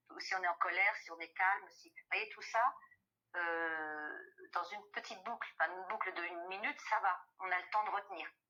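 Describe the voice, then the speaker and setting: Her loudness swinging widely, a woman speaks at a moderate pace with medium pitch and ordinary pitch variation. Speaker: voice actor. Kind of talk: interview answer.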